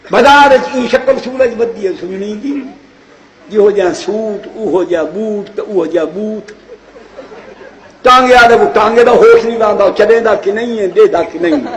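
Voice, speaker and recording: Over noticeable background noise, a theatrical tone in a Saraiki accent comes through with ordinary pitch variation. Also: man. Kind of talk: comic sermon-style speech in Saraiki about husbands and wives. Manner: humorous, theatrical.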